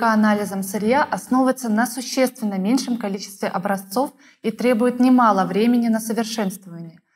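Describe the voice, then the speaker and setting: A woman speaks at a moderate pace in a fairly high pitch with ordinary pitch variation. Her voice is somewhat breathy. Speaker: interviewer. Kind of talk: formal interview. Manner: formal. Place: studio.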